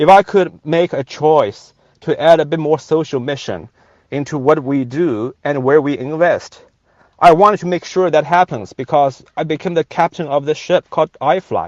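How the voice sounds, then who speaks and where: A man talks with a Chinese accent and ordinary pitch variation. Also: moderate pace. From China. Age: 40s. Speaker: venture capitalist. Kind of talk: rally speech. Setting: in a car by the highway. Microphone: phone on 5G.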